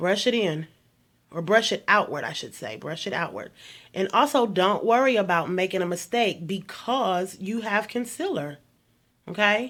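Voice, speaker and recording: At a moderate pace, a woman speaks in an animated tone with lively intonation and a medium pitch. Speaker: beauty vlogger. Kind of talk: tutorial.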